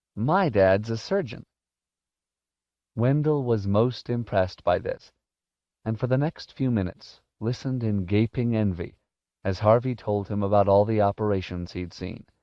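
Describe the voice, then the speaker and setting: Long, frequent pauses break up a man's moderate pace, his fairly low pitch showing ordinary variation. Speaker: audiobook narrator. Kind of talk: audiobook narration of a fantasy novel.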